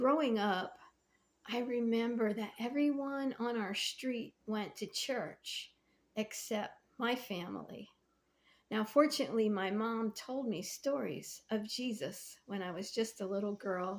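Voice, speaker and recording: Speaking at a fairly slow pace, a woman has a fairly high pitch, ordinary pitch variation, and an unremarkable speaking voice. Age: 60s. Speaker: faith vlogger and painter. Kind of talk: casual devotional talk to camera.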